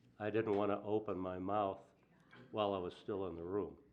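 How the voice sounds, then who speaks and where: Fairly low-pitched, the man talks in a monotone with flat intonation. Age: 60s. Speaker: city council member. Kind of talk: heated debate.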